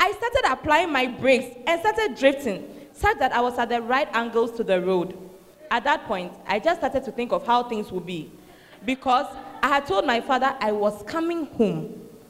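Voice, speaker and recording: At a moderate pace, a woman speaks in a high pitch with lively intonation over noticeable background noise. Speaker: church emcee reading testimonies. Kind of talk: enthusiastic announcing.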